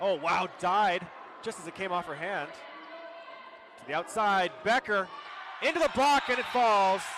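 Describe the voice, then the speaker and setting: Shouting loudly in a high pitch with lively intonation, a man talks at a fairly slow pace with long, frequent pauses amid noticeable background noise. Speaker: play-by-play sports commentator. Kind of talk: live commentary. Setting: gym with loud crowd. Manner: loud, shouting.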